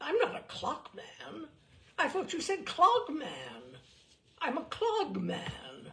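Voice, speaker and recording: The speaker uses a put-on character voice with a high pitch. Delivery is very slow. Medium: read story.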